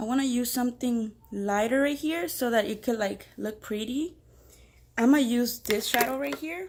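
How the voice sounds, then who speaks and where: Speaking with a Spanish accent, a woman uses lively intonation at a fairly high pitch and a fairly slow pace. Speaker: beginner makeup vlogger. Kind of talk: tutorial. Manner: casual, hesitant with many fillers.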